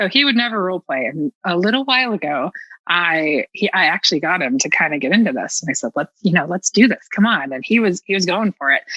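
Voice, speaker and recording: A woman with an American accent speaks at a medium pitch and a fairly quick pace, her tone bright and sharp. Her pitch swings very wide, and the sound is dry and close with no echo. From Southern United States. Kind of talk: casual podcast conversation. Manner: blunt.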